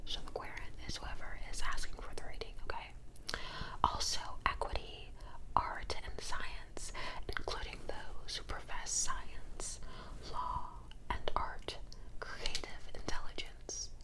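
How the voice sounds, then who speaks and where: Against noticeable background noise, a woman whispers very slowly. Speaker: tarot reader. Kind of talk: ASMR tarot card reading. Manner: whispered; soft-spoken.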